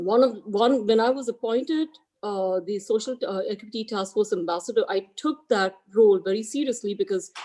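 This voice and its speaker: In an Indian accent, a dark, mellow voice moves at a fairly quick pace with ordinary pitch variation. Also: woman. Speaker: real estate agent, equity ambassador. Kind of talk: team meeting speech. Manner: halting.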